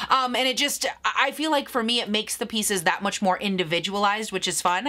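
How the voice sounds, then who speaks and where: The speaker has an animated tone and ordinary pitch variation. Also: woman. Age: 30s. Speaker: beauty YouTuber. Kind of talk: casual Q&A vlog. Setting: home video recording. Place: home room.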